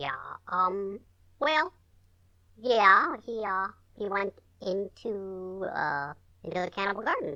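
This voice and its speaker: A put-on character voice at a middle pitch moves at a fairly slow pace, broken by long, frequent pauses. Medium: actual play. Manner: hesitant, stammering, lots of "uh" and "um".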